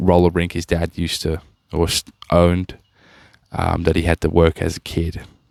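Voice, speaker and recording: An Australian-accented man speaks with a very deep, low pitch and monotone, flat intonation. His moderate pace is broken by long, frequent pauses, and the sound is dry and close with no echo. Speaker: podcast host. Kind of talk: casual commentary. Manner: halting.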